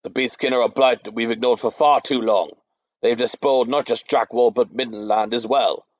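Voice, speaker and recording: This put-on character voice is booming, with fairly even intonation and a fairly quick pace. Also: man, medium pitch for a man. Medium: read story.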